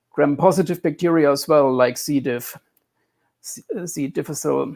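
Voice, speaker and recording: A man with a strong German accent speaks at a moderate pace, his pitch fairly high with ordinary variation. The recording is very clean, with a silent background. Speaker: computer scientist discussing health theory. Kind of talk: interview. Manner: halting, repeats words.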